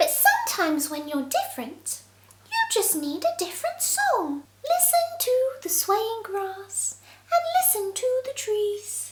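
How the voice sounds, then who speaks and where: A woman puts on a squeaky character voice at an extremely high pitch. She speaks at a fairly slow pace with lively intonation. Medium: read story. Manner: soft, encouraging.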